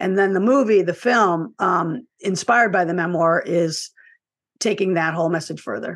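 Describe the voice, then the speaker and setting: A woman's unremarkable speaking voice, medium in pitch, with ordinary pitch variation at a moderate pace. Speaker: author and filmmaker. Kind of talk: casual interview.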